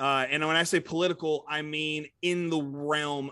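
A man's fairly high, fairly even voice at a moderate pace, a normal speaking voice, against a quiet background. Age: 20s. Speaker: podcast co-host. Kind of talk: casual chat.

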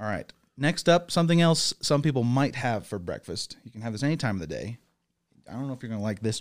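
Talking at a very fast pace, a man uses a medium pitch and an American accent with lively intonation. His loudness swings widely, on a very clean recording with a silent background. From northern England. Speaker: snack presenter. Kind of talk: casual chat.

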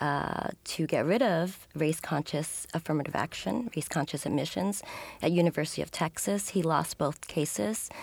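A woman with an American accent speaks at a moderate pace in a fairly low pitch, with vocal fry. The recording is very clean, with a silent background. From New York City, Upper West Side. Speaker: sociology professor. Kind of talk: interview.

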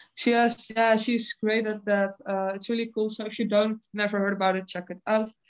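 A woman with a Dutch accent speaks at a moderate pace and a fairly high pitch, her intonation monotone and flat, with hardly any pauses. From Netherlands. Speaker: heavy metal singer. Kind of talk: casual interview.

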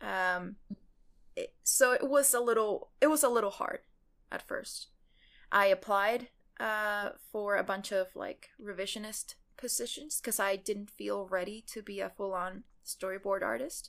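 Speaking at a fairly slow pace, a woman with a Spanish accent uses a medium pitch and ordinary pitch variation on a very clean recording with a silent background. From Mexico, Cancun. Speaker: animation showrunner. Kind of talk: casual interview. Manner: hesitant, many fillers.

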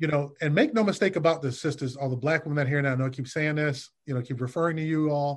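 Talking very fast in an American accent, a man has a fairly high pitch with ordinary variation. His voice is somewhat breathy, and the background is quiet. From Detroit, US Midwest. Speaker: licensed therapist. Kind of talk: casual interview.

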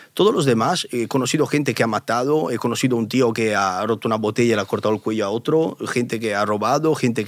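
A man's voice at medium pitch, delivered at a very fast pace. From Italy. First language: Italian (speaking Spanish). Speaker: YouTuber. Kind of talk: interview.

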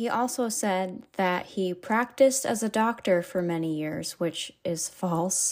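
A woman with an American accent speaks at a fairly slow pace with lively intonation and medium pitch, in an unremarkable speaking voice on a very clean recording with a silent background. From New Hampshire, US. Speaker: true crime podcaster. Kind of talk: scripted narration. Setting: home office.

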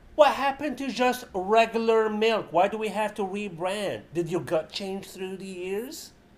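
A man with an Arabic accent speaks at a fairly slow pace, with hardly any pauses. His pitch is high with ordinary variation, and his loudness swings widely. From Libya, Benghazi. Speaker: comedian and writer. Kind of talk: casual chat.

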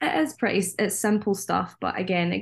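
In a Scottish accent, a woman speaks at a moderate pace with monotone, flat intonation against a quiet background. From Scotland. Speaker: theme park worker on cultural exchange. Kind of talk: casual chat.

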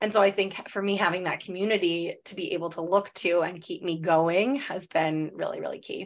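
A woman's unremarkable speaking voice, medium in pitch, at a fairly quick pace with hardly any pauses and fairly even intonation. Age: 30s. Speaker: podcast host, therapist and spiritual mentor. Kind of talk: casual chat.

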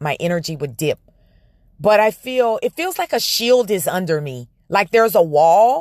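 This is an unremarkable speaking voice with lively intonation at a moderate pace. The recording is very clean, with a silent background. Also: woman, dry, close sound with no echo. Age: 40s. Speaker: spiritual podcast host. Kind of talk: spiritual monologue. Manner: casual, filler-heavy.

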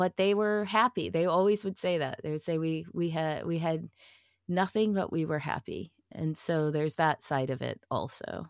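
A woman with an American accent, in an unremarkable speaking voice of fairly low pitch, with ordinary pitch variation at a moderate pace, on a very clean recording with a silent background. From Massachusetts (Chelmsford, north of Boston). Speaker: improv performer and theater director. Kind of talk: casual interview.

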